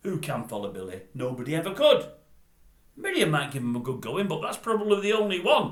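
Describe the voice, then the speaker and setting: A man talks at a fairly quick pace with very wide pitch swings. Noticeable background noise runs behind him. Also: fairly high pitch for a man. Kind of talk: casual talk to camera. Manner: chatty, storytelling.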